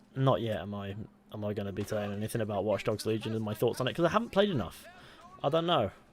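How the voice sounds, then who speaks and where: A man's fairly low voice with a British accent at a very fast pace, ordinary pitch variation and noticeable background noise. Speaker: gaming streamer. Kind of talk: casual live stream chat. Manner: soft-spoken.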